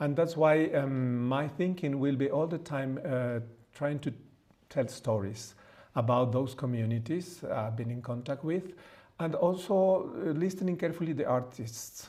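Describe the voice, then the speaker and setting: Speaking at a fairly slow pace with a Mexican accent, this voice has a dark, mellow tone and audible room echo. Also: man, fairly high pitch for a man, ordinary pitch variation. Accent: non-native English (Mexican Spanish). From Mexico. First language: Spanish. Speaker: priest and theologian. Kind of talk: lecture. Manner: halting, many fillers.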